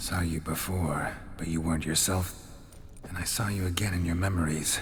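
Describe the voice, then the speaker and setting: A man puts on a character voice with a very deep, low pitch, speaking at a moderate pace against clear background noise. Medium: video game. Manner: terse, low-key.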